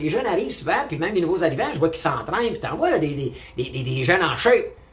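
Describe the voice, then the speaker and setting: A man talks fairly quickly amid noticeable background noise, with audible room echo around his voice. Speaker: vlogger. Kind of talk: opinion monologue. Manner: animated.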